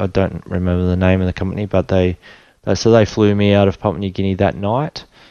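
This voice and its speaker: A man with an Australian accent speaks at a fairly low pitch in a dark, mellow tone, the sound dry and close with no echo. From Australia, Tweed Heads, New South Wales. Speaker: spinal injury survivor sharing faith story. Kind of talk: testimony.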